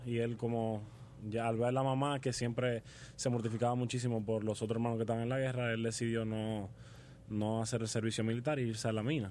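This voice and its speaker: A man's medium-pitched words come at a fairly quick clip in a plain, everyday voice. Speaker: hospitality student and restaurant family heir. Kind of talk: radio interview.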